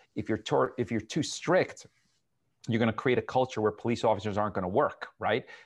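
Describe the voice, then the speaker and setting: At a fairly quick pace, a man with an American accent talks in a normal speaking voice with ordinary pitch variation. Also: medium pitch for a man, quiet background. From New Jersey (Edison). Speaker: city mayor. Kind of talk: interview.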